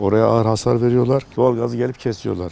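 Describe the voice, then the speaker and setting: This man's voice has a dark, mellow tone and fairly even intonation. He talks at a very fast pace. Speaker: neighbourhood headman. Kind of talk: interview answer.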